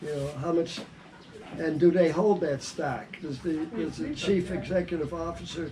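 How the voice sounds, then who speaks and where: A man with an American accent speaks at a moderate pace in a high pitch with fairly even intonation. There is noticeable background noise. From United States. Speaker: retired banker. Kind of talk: interview answer.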